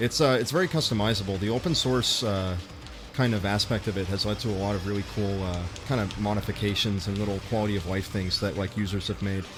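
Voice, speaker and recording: A man with an American accent speaks very fast at a fairly low pitch over music in the background. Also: ordinary pitch variation. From US, Los Angeles. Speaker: YouTuber and game streamer. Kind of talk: casual livestream chat. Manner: casual, many fillers.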